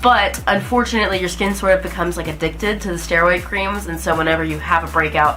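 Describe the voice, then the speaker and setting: A woman with an American accent talks at a very fast pace. Music plays in the background, and the room echo is audible. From US South, Alabama. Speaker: vlogger. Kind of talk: casual vlog talk to camera. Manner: casual, with fillers.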